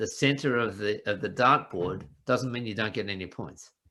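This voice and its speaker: A man talks with an Australian accent. His intonation is lively. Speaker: business coach. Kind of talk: casual interview chat.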